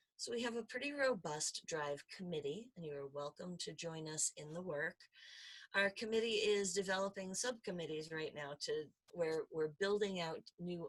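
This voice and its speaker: A woman speaks at a moderate pace in an unremarkable speaking voice, fairly low in pitch with lively intonation. The sound is dry and close with no echo. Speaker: faculty presenter on diversity in education. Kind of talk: conference presentation.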